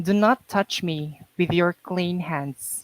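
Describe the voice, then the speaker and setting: A woman with a Mindanao accent speaks at a very slow pace in a fairly low pitch. The sound is dry and close, with no echo. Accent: Filipino (Mindanao) English. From Mindanao, Philippines. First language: Kamayo. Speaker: poet, author. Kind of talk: poetry reading.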